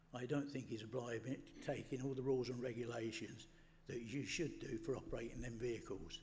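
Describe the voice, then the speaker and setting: In an English accent, a man speaks in a somewhat breathy voice. The room echo is audible. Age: 80s+. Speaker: member of the public, retired mechanic. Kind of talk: public representation at meeting.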